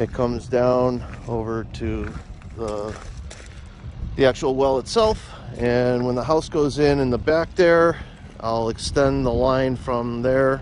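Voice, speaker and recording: A man talks at a very slow pace with long, frequent pauses and fairly even intonation, the sound dry with no echo over light background noise. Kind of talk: casual vlog chat. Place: open country. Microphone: phone near.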